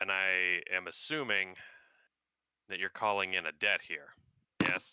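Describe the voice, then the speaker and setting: A man's put-on character voice, very deep and low in pitch, raspy, at a moderate pace. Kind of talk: pirate talk. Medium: actual play.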